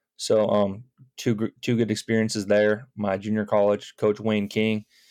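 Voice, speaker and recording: A man speaks with an American accent in a fairly low, dark, mellow voice, his intonation monotone and flat. The sound is dry and close with no echo, over a quiet background. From Chicago suburbs, US Midwest. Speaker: high school baseball coach. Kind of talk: casual interview.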